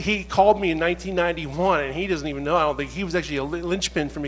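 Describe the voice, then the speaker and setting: A man speeds through his words at a very fast pace while music plays in the background. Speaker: assassination researcher and author. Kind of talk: casual chat.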